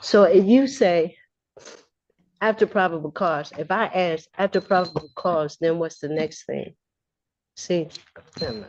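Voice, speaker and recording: A woman at a fairly slow pace, with ordinary pitch variation, big swings in loudness and long, frequent pauses. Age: 60s. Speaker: defendant in court. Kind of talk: courtroom exchange. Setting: courtroom. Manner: halting.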